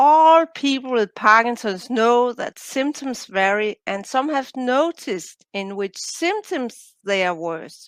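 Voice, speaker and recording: A woman's high voice with a Danish accent, very slow pace, hardly any pauses and very wide pitch swings, in a very clean, silent recording with a dry, close sound and no echo. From Denmark. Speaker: biologist and coach, author. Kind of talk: interview.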